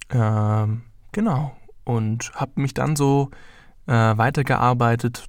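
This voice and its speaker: This man uses a normal speaking voice. It sits at medium pitch and shows ordinary pitch variation. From Heidenheim, Baden-Württemberg, Germany. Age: 20s. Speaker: journalism student and podcaster. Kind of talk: solo casual monologue.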